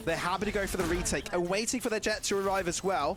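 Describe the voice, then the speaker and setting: Very fast speech over noticeable background noise. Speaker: esports caster. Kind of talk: live commentary.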